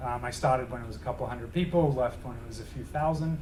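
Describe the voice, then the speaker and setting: A man with an Australian accent speaks in a somewhat breathy voice with ordinary pitch variation, and the room echo is audible. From Australia, Melbourne. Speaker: tech executive. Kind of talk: lecture. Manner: fast; casual.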